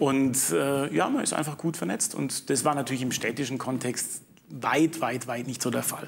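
A man's medium-pitched voice, with ordinary pitch variation, comes at a moderate pace through noticeable background noise. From Swabian Jura, Baden-Württemberg. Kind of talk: studio discussion.

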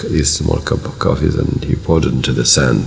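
Against light background noise, a man with a very deep, low voice speaks at a moderate pace with fairly even intonation. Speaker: government minister. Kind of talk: interview answer. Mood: warm, reflective, smiling. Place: office.

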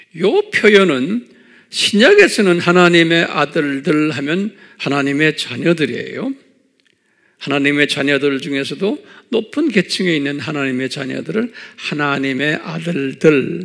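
In a quiet background, this man's fairly slow delivery shows ordinary pitch variation. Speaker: pastor teaching Bible class. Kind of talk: lecture.

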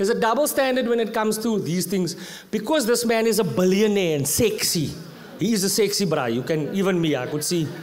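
A man with a high pitch and a South African accent. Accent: South African English, Afrikaans-inflected. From South Africa, Eastern Cape. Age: 30s. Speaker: comedian. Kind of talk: stand-up. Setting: stage with audience. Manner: animated. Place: stage. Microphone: handheld.

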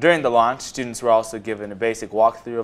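At a fairly quick pace, a man with medium pitch and a normal speaking voice talks. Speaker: news anchor. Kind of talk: studio newscast read from a script. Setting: studio. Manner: clear, steady and formal, newsreader style.

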